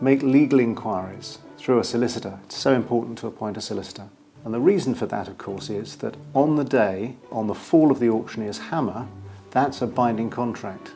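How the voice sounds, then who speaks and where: A man speaks at a fairly quick pace with a British accent, his pitch medium and its variation ordinary. His loudness swings widely, and music plays in the background. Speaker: property auctioneer. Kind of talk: explanatory advice to camera. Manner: clear, measured, authoritative.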